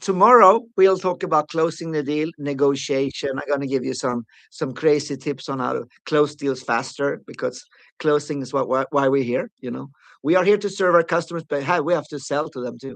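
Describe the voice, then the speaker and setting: Over a quiet background, a man with fairly high pitch and ordinary pitch variation speaks at a fairly quick pace. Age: 60s. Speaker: sales trainer. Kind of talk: live webinar training. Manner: animated.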